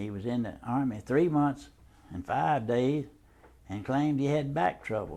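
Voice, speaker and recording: Mellow and dark in tone, the speech proceeds at a moderate speed with pitch that varies in an ordinary way. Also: man. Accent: Southern US. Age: 80s+. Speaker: war veteran. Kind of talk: oral history interview.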